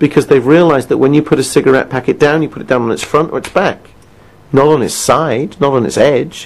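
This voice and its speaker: This voice has a British accent. The pace is very fast. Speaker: quit-smoking coach. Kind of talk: recorded self-help session. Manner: conversational, asks listener questions.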